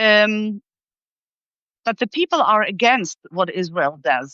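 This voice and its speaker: A woman speaks in a fairly high pitch. Her pace is very slow. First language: German. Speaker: political commentator. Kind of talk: live interview discussion. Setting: live video stream. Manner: hesitant, many fillers and restarts.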